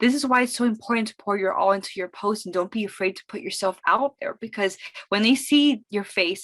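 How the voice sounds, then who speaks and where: A woman talks with a fairly high pitch and ordinary pitch variation. The sound is dry and close, with no echo. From Miami, Florida. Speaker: social media marketing consultant. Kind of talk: webinar presentation. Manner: fast; animated.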